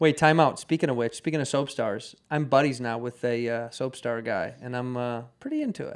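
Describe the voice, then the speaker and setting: Speaking at a fairly quick pace with hardly any pauses, a man uses an ordinary speaking voice at medium pitch with ordinary pitch variation. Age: 30s. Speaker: podcast host. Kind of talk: casual chat.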